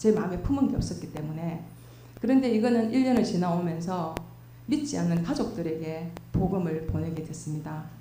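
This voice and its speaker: Amid noticeable background noise and audible room echo, a woman with a fairly low pitch speaks at a fairly quick pace with lively intonation. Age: 60s. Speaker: church deaconess. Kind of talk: testimony.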